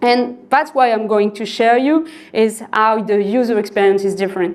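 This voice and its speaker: Speaking with a French accent, a woman uses a fairly high voice and ordinary pitch variation. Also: moderate pace. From northern France, Lille. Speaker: software developer. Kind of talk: conference talk. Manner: halting.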